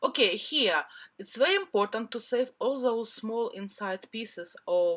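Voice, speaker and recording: With a non-native accent, a woman talks at a moderate pace in a fairly high, bright, sharp voice with lively intonation. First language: not English. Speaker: cardmaking crafter. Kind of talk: craft tutorial voiceover.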